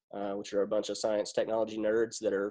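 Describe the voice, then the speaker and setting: Talking at a fairly quick pace, a man speaks with a Kentucky accent. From Western Kentucky, US. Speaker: military band euphonium player and teacher. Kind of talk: casual chat.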